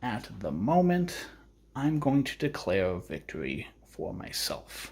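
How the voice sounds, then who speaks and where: A man speaks quietly at a medium pitch, with very wide swings in pitch. The recording is very clean, with a silent background. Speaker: tabletop gaming youtuber. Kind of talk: solo wargame playthrough commentary. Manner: quiet, low energy.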